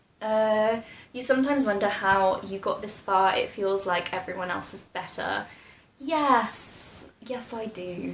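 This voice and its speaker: A woman with a British accent speaks at a fairly slow pace, her pitch fairly high. Her pitch varies in an ordinary way, with noticeable background noise. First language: Polish. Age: 20s. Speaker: YouTuber, medical student. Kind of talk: casual Q&A vlog.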